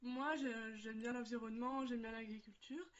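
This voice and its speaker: Her voice is high for a woman. She speaks at a fairly quick pace. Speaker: student. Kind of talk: testimony.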